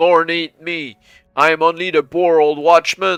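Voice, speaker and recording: In a put-on character voice, a man whines at a high pitch with monotone, flat intonation and a fairly slow pace. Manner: whining, frightened, pleading.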